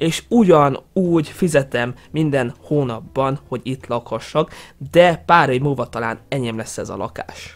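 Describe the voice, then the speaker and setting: Speaking at a moderate pace, a man with a fairly high pitch sounds animated, his intonation lively. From Hungary. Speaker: YouTuber. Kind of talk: casual vlog commentary. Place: home room. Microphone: headset.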